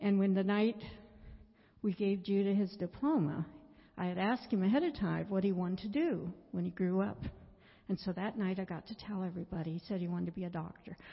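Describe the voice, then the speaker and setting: A woman speaks at a fairly quick pace in a somewhat breathy voice, her pitch varying in an ordinary way. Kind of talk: testimony.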